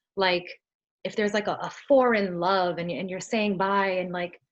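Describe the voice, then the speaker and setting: Here a woman talks with a New York accent. She moves at a fairly quick pace. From US Northeast, Brooklyn, New York. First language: Spanish. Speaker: singer-songwriter. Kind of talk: interview.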